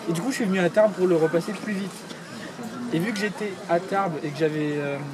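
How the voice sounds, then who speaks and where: A man with a high pitch speaks at a fairly quick pace with ordinary pitch variation, amid audible room echo and noticeable background noise. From Paris region, France. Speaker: YouTuber. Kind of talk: casual chat.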